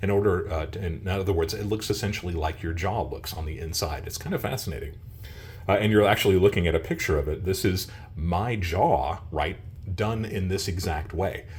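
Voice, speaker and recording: Somewhat breathy, the voice moves at a fairly quick pace with ordinary pitch variation and audible room echo. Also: man, very deep, low pitch for a man. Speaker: coin and precious metals video creator. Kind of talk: casual video monologue.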